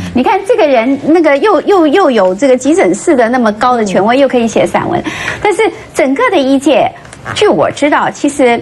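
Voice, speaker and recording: Her high-pitched voice swings very widely in pitch while holding a very even loudness, with light background noise behind the woman. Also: moderate pace. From Taiwan. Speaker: political commentator, former journalist. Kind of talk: political talk show discussion. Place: studio.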